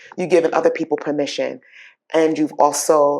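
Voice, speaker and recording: A woman speaks with a strong Bronx accent in a monotone, flat intonation. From New York, the Bronx. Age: 50s. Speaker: talk show host. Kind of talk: interview.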